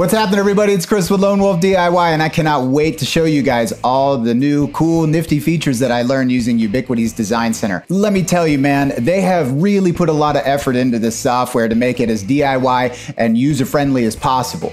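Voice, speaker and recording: Someone talks very fast with faint music in the background. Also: man. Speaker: tech DIY video host. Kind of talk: casual vlog intro and tutorial. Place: studio.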